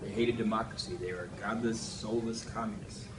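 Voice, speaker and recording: A man with an American accent speaks with fairly even intonation, with audible room echo and noticeable background noise in the recording. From US Midwest, Minnesota. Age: 50s. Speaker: interviewee recalling history. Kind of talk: interview. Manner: halting.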